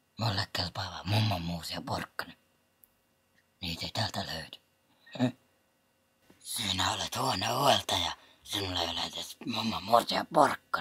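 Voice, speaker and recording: A man whispering in a cartoonish character voice, with long, frequent pauses and a dry, close sound with no echo. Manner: formal, curt.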